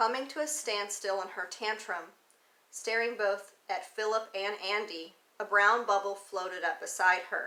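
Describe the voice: The passage is read aloud plainly. Its intonation holds fairly even throughout.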